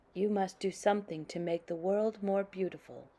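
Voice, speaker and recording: This put-on character voice moves at a moderate pace with monotone, flat intonation. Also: woman, medium pitch for a woman. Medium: read story. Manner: warm, gentle.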